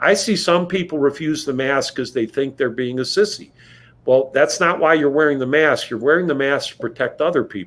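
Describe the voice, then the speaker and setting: His pitch is fairly high for a man, with ordinary variation. He speaks at a fairly quick pace. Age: 60s. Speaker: physician and professor of medicine. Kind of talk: interview. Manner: halting.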